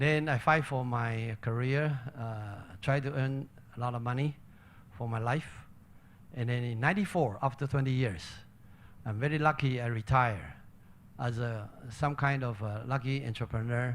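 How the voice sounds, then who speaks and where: A man speaks with a Chinese accent, leaving long, frequent pauses. The recording is very clean with a silent background. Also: medium pitch for a man, ordinary pitch variation, moderate pace. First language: Mandarin Chinese. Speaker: retired entrepreneur, volunteer leader. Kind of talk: speech to audience. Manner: halting.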